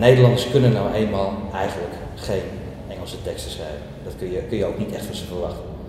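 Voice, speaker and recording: A man's fairly low voice at a very fast pace, with big swings in loudness and ordinary pitch variation, amid noticeable background noise and audible room echo. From Amsterdam, Netherlands. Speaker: country band singer. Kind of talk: interview. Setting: music event venue.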